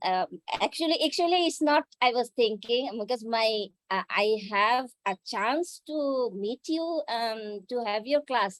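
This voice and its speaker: A woman's fairly high voice with a Bengali accent, fairly slow and with lively intonation, in a dry, close sound with no echo against a quiet background. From Bangladesh. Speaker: karate instructor and fitness center owner. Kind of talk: self-introduction in an online class.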